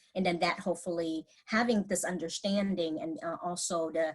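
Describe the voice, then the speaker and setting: With a Vietnamese accent, a woman speaks at a moderate pace in a somewhat breathy voice. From Vietnam, moved to US at about twelve. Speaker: mental health clinician. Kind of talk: presentation. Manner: halting, many fillers and restarts.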